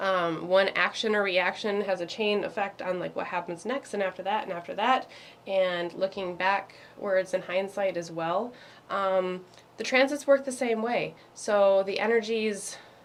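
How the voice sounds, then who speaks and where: A woman with a normal speaking voice talks fairly slowly at a medium pitch and with ordinary pitch variation. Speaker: astrology meditation leader. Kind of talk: casual astrology talk in live meditation session.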